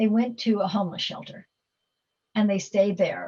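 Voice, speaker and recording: Dark, mellow tone and somewhat breathy quality in a woman's voice. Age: 70s. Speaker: philanthropist. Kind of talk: Q&A talk. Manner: halting.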